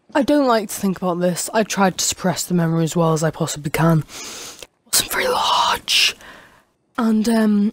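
With a British accent, a woman speaks at a moderate pace, her loudness very even and her intonation lively. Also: medium pitch for a woman. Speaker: gaming youtuber. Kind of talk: casual storytelling monologue. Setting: home recording with microphone. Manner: rambling, hesitant with many fillers.

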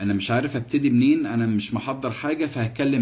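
A man speaks in a somewhat breathy voice. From Egypt. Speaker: actor doing a live stream commentary. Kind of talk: casual live stream talk. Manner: animated. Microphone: phone near.

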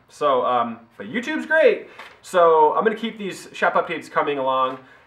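With a medium pitch and a fairly bright tone, a man speaks with big pitch swings and audible room echo.

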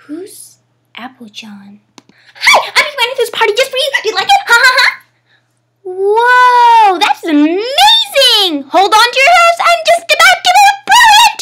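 A woman speaks in a cartoonish character voice, extremely high-pitched, at a moderate pace. Long pauses break up her speech often. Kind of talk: cartoon character impressions.

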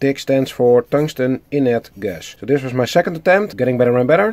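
The voice has a dark, mellow tone at a moderate pace. The background is quiet. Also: man. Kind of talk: tutorial. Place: workshop. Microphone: phone near.

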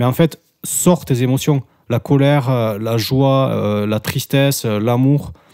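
Moving at a very slow pace, the man's voice carries a dark, mellow tone. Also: medium pitch for a man, ordinary pitch variation. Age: 30s. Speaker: podcast co-host. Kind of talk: casual chat.

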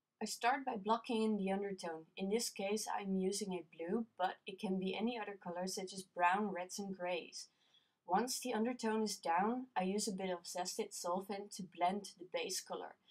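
In a Dutch accent, a woman speaks at a medium pitch and a moderate pace with fairly even intonation. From Netherlands. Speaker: colored pencil artist. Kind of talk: tutorial narration.

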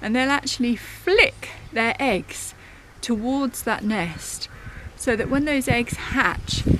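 A woman with a high voice speaks at a very slow pace, the sound dry with no echo and light background noise behind her. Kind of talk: casual educational talk. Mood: calm, enthusiastic. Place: garden. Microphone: phone near.

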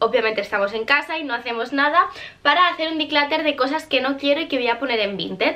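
A woman speaks in a raised, projected voice with a bright, sharp tone. Her pitch varies in an ordinary way. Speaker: vlogger. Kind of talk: casual vlog chat. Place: home room.

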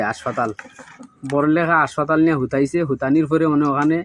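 The speaker is a man with a Sylheti accent. His pitch sits fairly high. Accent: Sylheti-accented Bengali. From Bangladesh, Sylhet region (Moulvibazar, Juri). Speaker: migrant worker, robbery victim. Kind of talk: testimony. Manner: halting.

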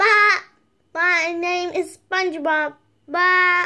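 Someone uses a put-on character voice at an extremely high pitch, speaking at a very slow pace. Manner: silly, cartoonish.

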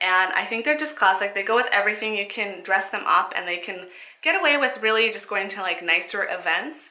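A woman's medium-pitched voice at a fairly quick pace, lively intonation, audible room echo. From Canada. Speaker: fashion vlogger. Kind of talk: casual haul and try-on video. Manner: soft-spoken. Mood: upbeat, enthusiastic. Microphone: phone near.

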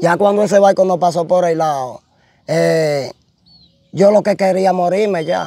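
With a Dominican accent, a man speaks at a high pitch and a fairly slow pace. The sound is dry, with no echo. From Dominican Republic, Puerto Plata; Dominican Republic. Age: young. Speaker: shipwreck survivor; interviewee. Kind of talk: testimony. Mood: animated storytelling. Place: open country. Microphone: lapel.

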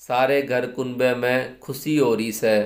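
A man speaks very slowly in a flat, monotone delivery. The background is quiet. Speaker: storyteller. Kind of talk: story reading. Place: home room. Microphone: phone near.

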